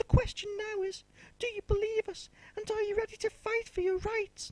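Her voice sits at an extremely high pitch, and the woman keeps a fairly even intonation at a moderate pace. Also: dry, close sound with no echo. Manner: determined.

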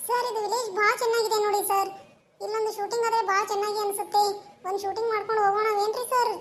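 A woman puts on a cartoonish character voice at an extremely high pitch. She keeps a moderate pace and monotone, flat intonation. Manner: polite, persuasive.

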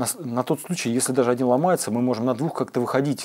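Here a man speaks with ordinary pitch variation. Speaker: guest. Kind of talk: interview answer. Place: studio. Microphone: lapel.

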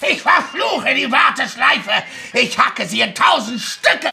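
A raspy, put-on character voice shouts. The pace is moderate. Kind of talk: mock-heroic fantasy speech. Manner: pompous, bombastic, menacing.

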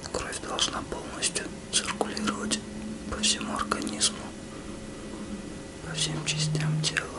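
Loud background noise surrounds a soft-spoken man. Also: fairly slow pace. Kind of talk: soft roleplay guidance, addressing the viewer. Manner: soft, hushed ASMR speaking voice. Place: home room.

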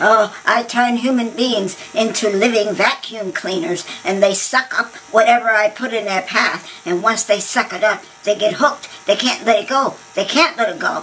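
A put-on character voice, female-sounding and fairly high, at a moderate pace over clear background noise. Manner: stammering, nervous, excitable.

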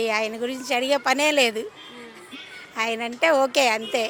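Noticeable background noise sits behind a woman speaking in a high pitch with fairly even intonation. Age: 60s. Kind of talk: street interview answer.

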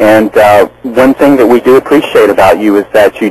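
Moderate pacing in a dry sound with no echo. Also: man. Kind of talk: call-in encouragement to host.

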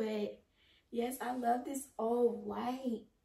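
A woman's voice, pitched fairly high, comes through noticeable background noise. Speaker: fashion vlogger. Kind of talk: casual vlog try-on. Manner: animated.

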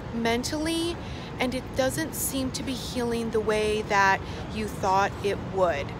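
A woman's fairly slow voice, dry and without echo, over background music. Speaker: spiritual life coach vlogger. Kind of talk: casual vlog chat. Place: street. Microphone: phone near.

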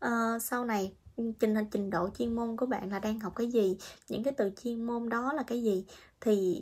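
This woman's fairly high voice moves at a moderate pace, and her pitch varies in an ordinary way. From Vietnam. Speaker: vlogger, international student in Japan; vlogger. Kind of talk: casual vlog monologue. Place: home room. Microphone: phone near.

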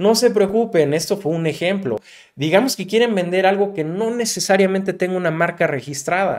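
A man with a high pitch speaks at a moderate pace with ordinary pitch variation. His tone is animated, and the background is quiet. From Mexico. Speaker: digital marketing youtuber. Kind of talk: tutorial.

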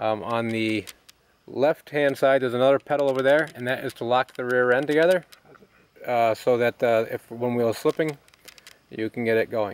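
Dry with no echo, a man's voice keeps fairly even intonation at a moderate pace. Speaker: tractor owner. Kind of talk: casual walkaround commentary. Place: garden.

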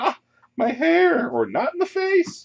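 The man puts on a character voice, pitched extremely high and delivered fairly slowly. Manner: annoying, snooty, whiny.

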